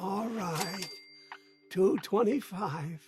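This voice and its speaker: A man speaks in a put-on character voice, pitched high for a man. Faint music plays in the background. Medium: machinima. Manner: chipper, old-fashioned.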